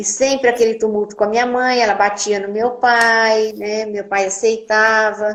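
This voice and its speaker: At a fairly slow pace, a normal speaking voice keeps a fairly even intonation. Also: woman. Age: 60s. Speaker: nurse. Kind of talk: testimony. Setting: live video stream.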